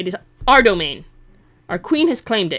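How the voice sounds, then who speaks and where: Put on as a character voice, the speech is growling, fairly high in pitch and at a fairly quick pace. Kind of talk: game character role-play. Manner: growling, hostile.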